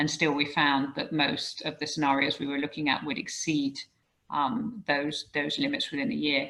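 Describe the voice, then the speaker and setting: A woman with a very deep, low pitch and a bright, sharp tone speaks at a moderate pace with ordinary pitch variation. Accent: British. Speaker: professor. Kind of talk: lecture. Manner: halting, frequent um fillers.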